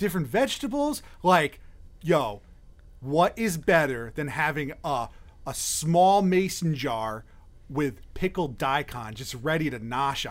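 This man has an ordinary speaking voice at a fairly high pitch. He talks at a fairly slow pace with lively intonation and big swings in loudness. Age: 30s. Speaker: podcast host. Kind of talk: casual chat.

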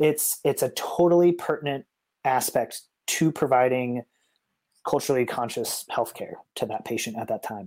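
In a normal speaking voice, a man with an American accent talks at a moderate pace. His pitch is fairly high with ordinary variation, on a very clean recording with a silent background. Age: 30s. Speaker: nurse. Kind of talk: casual interview conversation.

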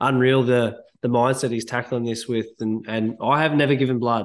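Against a quiet background, a man with an Australian accent talks at a fairly quick pace in a medium pitch and monotone, flat intonation. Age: 30s. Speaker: podcast host. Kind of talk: casual chat.

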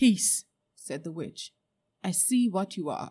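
Against a quiet background, a passage is read aloud plainly.

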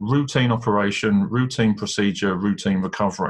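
The speaker has a British accent and a fairly quick pace. Pitch variation is ordinary. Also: man. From England. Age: 40s. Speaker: leadership coach. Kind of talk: interview about life story.

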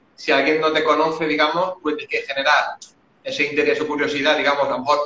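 A man talks at a very fast pace, his pitch fairly high. Noticeable background noise runs underneath. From Spain, Valencia. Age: 30s. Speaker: Facebook ads marketer. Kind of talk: casual chat.

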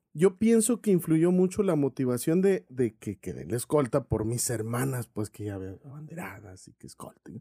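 At medium pitch and moderate pace, a man with a dark, mellow tone and a somewhat breathy voice speaks with hardly any pauses, very wide pitch swings and big swings in loudness, in a dry, close, very clean recording with no echo and a silent background. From Mexico, Sonora (Cananea). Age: 40s. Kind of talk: interview testimony.

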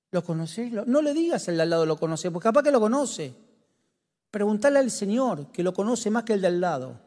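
On a very clean recording with a silent background, a man with a Rioplatense accent talks at a fairly quick pace in an animated tone, his high pitch swinging very widely. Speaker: pastor. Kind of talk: sermon.

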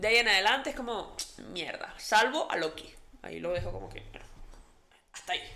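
Over noticeable background noise and audible room echo, a woman speaks at a fairly quick pace with lively intonation, big swings in loudness and long, frequent pauses. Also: fairly high pitch for a woman. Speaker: podcast co-host. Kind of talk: casual chat.

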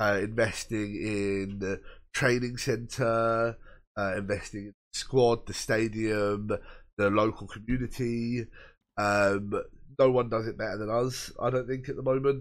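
A man with a southern English accent, medium pitch, and a flat, monotone delivery at a fairly slow pace over a quiet background. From Brighton area, England. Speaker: football podcast co-host. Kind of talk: casual chat.

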